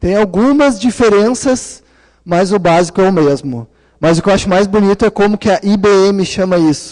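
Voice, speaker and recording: A man speaks in a high voice at very even loudness. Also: ordinary pitch variation, moderate pace. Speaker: conference speaker, PhD student in data science. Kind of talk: conference talk. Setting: conference room with audience.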